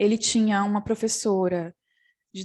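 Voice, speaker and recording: A woman with a fairly high voice talks at a fairly slow pace. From interior of São Paulo state, Brazil. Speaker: theatre professor and performance artist. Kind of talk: panel talk. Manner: halting, with self-corrections.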